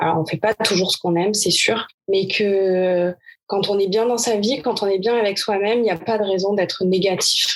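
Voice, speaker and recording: At a moderate pace, a woman talks with a medium pitch and very even loudness. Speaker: tennis coach. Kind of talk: interview answer. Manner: energetic.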